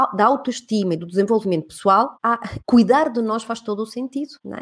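Her pitch fairly high and swinging very widely, a woman talks at a fairly quick pace. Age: 40s. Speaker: podcast host and women's mentor. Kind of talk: interview, motivational casual chat. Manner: animated.

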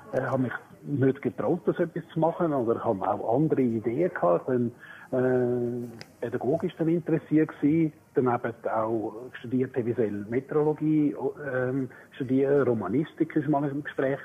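Moderate in pace, a man talks at medium pitch with ordinary pitch variation. His is an unremarkable speaking voice. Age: 60s. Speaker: retiring primary school teacher. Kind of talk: casual chat.

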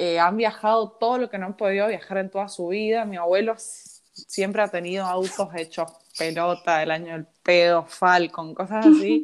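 Her intonation fairly even, a woman talks in an ordinary speaking voice. Her pitch is medium and her pace moderate. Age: 20s. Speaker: accountant. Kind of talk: casual chat. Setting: remote recording from home.

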